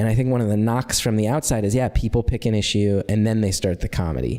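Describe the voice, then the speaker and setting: Soft-spoken and very fast, a man speaks with an American accent at a fairly low pitch, his intonation fairly even. His tone is dark and mellow, and his loudness stays very even. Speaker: comedian. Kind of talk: interview answer.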